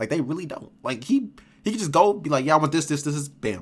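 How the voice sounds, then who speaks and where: The man's voice sits fairly high and sounds somewhat breathy. His intonation is lively. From Rochester, New York. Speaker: streamer reacting to videos. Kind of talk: casual reaction commentary. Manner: animated, filler-heavy.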